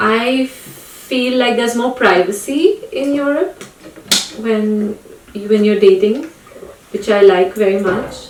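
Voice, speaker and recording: A woman's fairly high voice at a very slow pace, with long, frequent pauses, ordinary pitch variation and noticeable background noise. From India. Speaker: podcast host. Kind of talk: casual chat.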